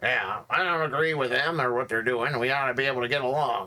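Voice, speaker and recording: A put-on character voice at a very fast pace. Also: man, medium pitch for a man. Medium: actual play. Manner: friendly, rambling.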